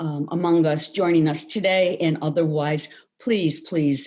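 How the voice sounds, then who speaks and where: Over music in the background, a woman with a very deep, low pitch speaks at a fairly slow pace with fairly even intonation. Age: 60s. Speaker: labor arbitrator. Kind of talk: award acceptance speech. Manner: halting, with fillers and repeated words.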